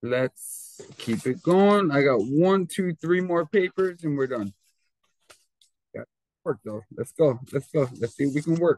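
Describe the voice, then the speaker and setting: In an ordinary speaking voice, a man with a fairly high pitch talks at a fairly slow pace with lively intonation, the sound dry and close with no echo. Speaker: teacher. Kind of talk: tutorial.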